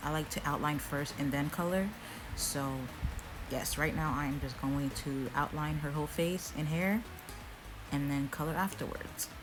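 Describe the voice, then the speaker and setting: A woman's very deep, low voice at a moderate pace with long, frequent pauses, fairly even intonation and very even loudness, over music in the background. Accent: American. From Florida, USA. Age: 20s. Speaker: digital artist. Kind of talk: drawing tutorial voiceover. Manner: casual.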